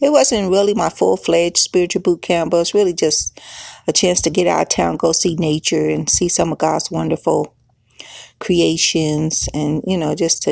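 A woman speaks at a moderate pace in a fairly low pitch, with vocal fry and ordinary pitch variation. The sound is dry and close, with no echo. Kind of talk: religious teaching podcast. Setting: recorded podcast session. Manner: casual, conversational.

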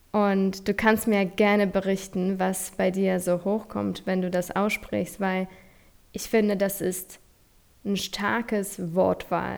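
In a very clean recording with a silent background, a woman speaks at a very slow pace and a medium pitch. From Poland. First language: Polish (speaking German). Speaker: podcast host and nutrition coach. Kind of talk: motivational monologue. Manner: animated.

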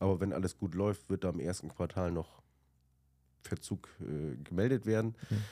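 Very deep, low pitch from a man with a dark, mellow tone and ordinary pitch variation, at a moderate pace with long, frequent pauses. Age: 40s. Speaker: managing director of a fish import company. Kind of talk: casual interview.

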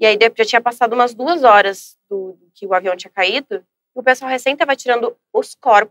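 Hardly pausing, a woman talks with a fairly high pitch. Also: dry, close sound with no echo. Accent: southern Brazilian. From Brazil, Rio Grande do Sul (São Leopoldo). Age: 20s. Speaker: social media influencer. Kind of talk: casual interview. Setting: studio.

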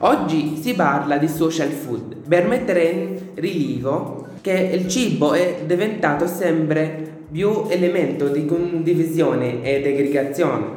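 A man with a fairly high pitch speaks at a very slow pace with hardly any pauses and ordinary pitch variation. Room echo is audible and background noise is noticeable. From Syria. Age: 20s. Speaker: student radio host. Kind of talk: scripted introduction and interview.

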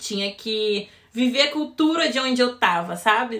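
With a Rio de Janeiro accent, a woman speaks at a high pitch with lively intonation. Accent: carioca. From Rio de Janeiro, Brazil. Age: 20s. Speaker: cruise ship crew member. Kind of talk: podcast interview.

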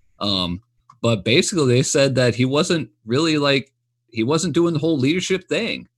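This man talks at a moderate pace with vocal fry, lively intonation, a fairly high pitch and very even loudness. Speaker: sports podcast co-host. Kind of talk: casual chat. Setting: live streamed podcast.

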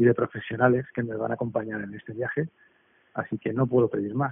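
This man's medium-pitched voice races along at a very fast clip. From Basque Country, Spain. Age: 40s. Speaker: entrepreneur. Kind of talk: interview. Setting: remote call. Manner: halting, many repetitions.

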